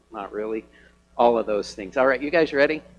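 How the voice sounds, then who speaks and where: Music plays in the background behind a man. His pitch is medium, with ordinary variation. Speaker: pastor. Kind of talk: sermon. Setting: church.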